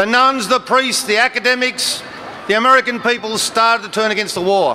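A raised, projected voice over light background noise. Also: man. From Australia. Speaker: politician addressing a protest rally. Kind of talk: parliamentary-style political oratory at a protest rally. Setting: outdoor rally with crowd. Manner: forceful, declamatory; formal, measured, argumentative. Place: street. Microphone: podium.

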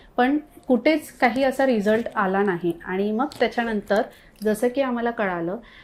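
A woman with a normal speaking voice, fairly high pitch and ordinary pitch variation. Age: 30s. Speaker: fertility clinic patient. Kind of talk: testimonial.

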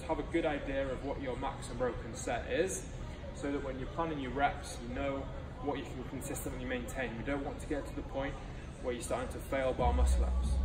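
Noticeable background noise runs under a male voice moving at a fairly quick pace. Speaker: fitness coach. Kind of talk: workout briefing tutorial. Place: gym. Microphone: camera far.

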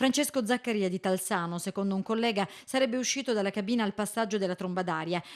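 A woman talks very fast at a medium pitch, her pitch varying in an ordinary way, with hardly any pauses. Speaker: TV news reporter reading a report. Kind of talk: newsreading, voiceover of a report. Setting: voiceover recorded report. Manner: brisk, formal, even-toned news delivery.

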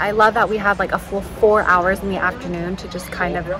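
Clear music plays behind a woman who speaks with fairly even intonation in a dry sound with no echo. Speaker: travel vlogger. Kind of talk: casual vlog chat. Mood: relaxed, happy. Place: cafe. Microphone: phone near.

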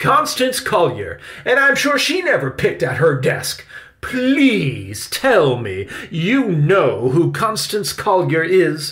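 A man uses a put-on character voice with a fairly bright tone and very wide pitch swings. He speaks at a slow pace. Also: fairly high pitch for a man.

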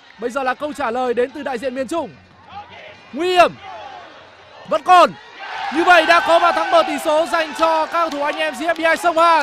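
A man speaks in a raised, projected voice at an extremely high pitch, with an animated, excited tone. His pitch variation is ordinary, and he takes long, frequent pauses. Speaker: football commentator. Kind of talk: live sports commentary on a futsal match, play-by-play with replays. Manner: fast, animated play-by-play delivery that builds to excited calls at goals and penalties; rapid, tense, dramatic.

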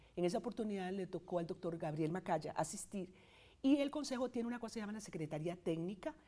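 A woman's dark, mellow, somewhat breathy voice with lively intonation at a fairly quick pace. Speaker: statistics professor. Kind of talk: interview.

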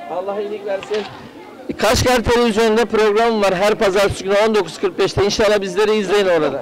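Over light background noise, a man talks at a fairly quick pace. His pitch is high, with fairly even intonation. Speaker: TV show host; local TV show host. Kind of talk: street interviews with vendors. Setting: outdoor market. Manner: informal, friendly. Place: market.

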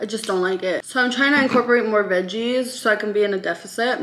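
A woman speaks with a bright, sharp tone and fairly even intonation. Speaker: lifestyle vlogger. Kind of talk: casual vlog chat. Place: kitchen. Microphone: camera far.

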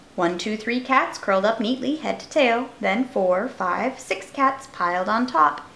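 Unforced reading voice, plainly delivered.

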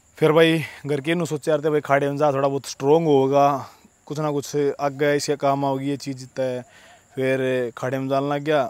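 At a fairly slow pace, a man talks in a monotone, flat way at a fairly high pitch, with a dry sound and no echo. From Haryana, Sonipat; Haryana. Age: 20s. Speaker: wrestler and fitness vlogger; vlogger. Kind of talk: casual vlog monologue. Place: open country. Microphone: handheld.

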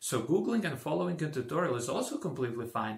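With a Croatian accent and lively intonation, a man speaks against a quiet background with audible room echo. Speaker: tech tutorial creator; tutorial creator. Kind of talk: tutorial; tutorial introduction. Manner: halting, with fillers. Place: home room.

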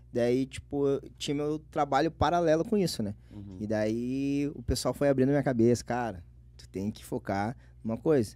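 A man's dark, mellow voice in a southern Brazilian accent, at a moderate pace with ordinary pitch variation and big swings in loudness. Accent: gaúcho Brazilian Portuguese. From Porto Alegre area, Rio Grande do Sul, Brazil. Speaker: internet comedian. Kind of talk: casual chat. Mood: relaxed, animated storytelling. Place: studio. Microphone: studio mic.

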